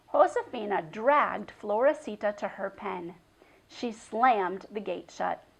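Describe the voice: The plain reading aloud carries a lively intonation.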